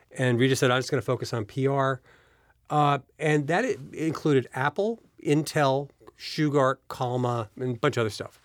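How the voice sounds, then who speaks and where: Medium in pitch with ordinary pitch variation, a man delivers his words at a moderate pace in an unremarkable speaking voice. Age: 60s. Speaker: business executive and investor. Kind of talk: interview. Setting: studio.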